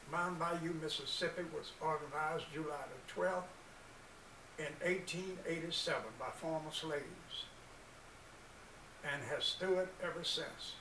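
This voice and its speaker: In an American accent, a man speaks at a fairly slow pace with long, frequent pauses, amid noticeable background noise and audible room echo. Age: 80s+. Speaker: community organization founder, military veteran. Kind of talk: speech.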